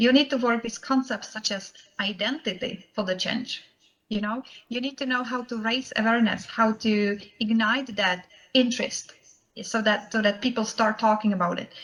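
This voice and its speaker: With a Czech accent, a woman speaks in a fairly high voice with fairly even intonation. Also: moderate pace. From Czech Republic. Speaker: professional association chapter president, banker. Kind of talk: conference presentation. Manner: frequent hesitations (uh, um).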